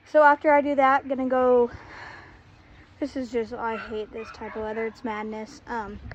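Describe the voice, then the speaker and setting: Speaking at a moderate pace with fairly even intonation, a high-pitched woman leaves long, frequent pauses while her loudness swings widely. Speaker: horse owner vlogger. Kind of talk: casual vlog narration while doing chores.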